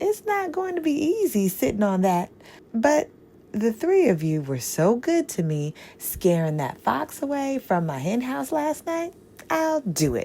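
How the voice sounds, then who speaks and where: A rumbling, put-on character voice swings very widely in pitch. The pace is moderate. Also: female-sounding voice, fairly high pitch for a woman. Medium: read story. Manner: grumbling.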